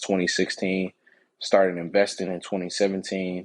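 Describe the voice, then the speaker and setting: A man speaks in a very deep, low voice with an American accent, at a moderate pace. His intonation is monotone and flat against a quiet background. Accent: lacks a Long Island. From New York and Atlanta, Georgia. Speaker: stock market educator. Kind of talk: casual interview.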